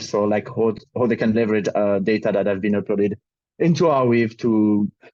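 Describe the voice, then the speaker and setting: A man's dark, mellow voice with a French accent at a moderate pace. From France. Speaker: crypto project ecosystem lead. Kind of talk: panel discussion. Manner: halting.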